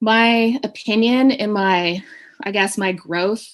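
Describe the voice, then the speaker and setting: Against a quiet background, a woman with a Maritimes accent talks at a medium pitch with ordinary pitch variation. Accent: Canadian English (Maritimes). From Canada, New Brunswick (Hampton). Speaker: communications professional. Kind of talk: panel discussion.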